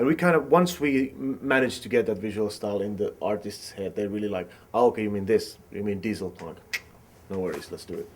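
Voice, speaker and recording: With a Finnish accent, a man talks at a very fast pace and a fairly low pitch, his intonation lively and his loudness swinging widely. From Finland. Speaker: film director. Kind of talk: interview. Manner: halting.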